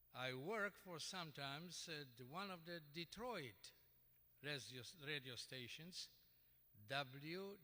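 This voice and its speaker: The voice carries a Polish accent, a bright, sharp tone and lively intonation. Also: man. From Poland. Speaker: award honoree, radio broadcaster. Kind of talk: acceptance speech. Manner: halting.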